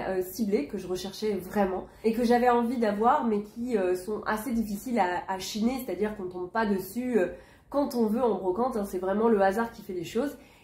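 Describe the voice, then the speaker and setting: A woman's fairly high voice, with ordinary pitch variation, moves at a moderate pace against noticeable background noise. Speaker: vintage haul vlogger. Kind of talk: casual video haul presentation. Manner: hesitant with frequent fillers.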